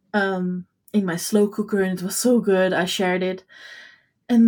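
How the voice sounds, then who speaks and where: In a very clean recording with a silent background, a woman of medium pitch talks at a fairly slow pace. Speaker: podcast co-host and paint maker. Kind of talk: casual chat. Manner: animated.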